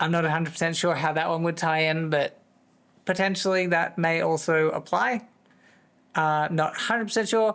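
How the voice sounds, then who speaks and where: A man with an American accent talks at a fairly quick pace in a high pitch. His pitch variation is ordinary and his loudness stays very even. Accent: wandering accent, said to sound American. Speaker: livestreamer. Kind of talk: casual chat. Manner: chatty, rambling with fillers.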